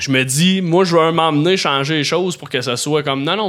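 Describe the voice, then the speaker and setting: In a normal speaking voice, a man talks at a moderate pace and fairly high pitch with ordinary pitch variation. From Quebec, Beauharnois area. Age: 30s. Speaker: comedian and YouTube creator. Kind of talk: casual chat. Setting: studio.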